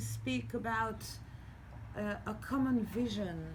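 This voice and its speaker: Audible room echo colors this recording. The speaker is a woman. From Iran and Israel. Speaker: activist speaker. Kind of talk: panel conversation. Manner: halting, stammering.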